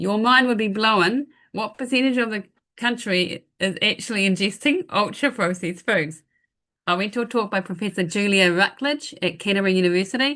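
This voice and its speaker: A woman's bright, sharp voice at medium pitch, fairly quick in pace, with ordinary pitch variation against a quiet background. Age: 60s. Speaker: pharmacist sharing product testimony. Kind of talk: testimony in online business presentation.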